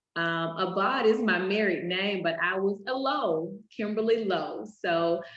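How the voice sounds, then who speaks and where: An American accent at a fairly slow pace, with ordinary pitch variation and audible room echo. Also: woman, medium pitch for a woman. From US South, Macon, Georgia. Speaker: teacher and author. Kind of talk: video interview.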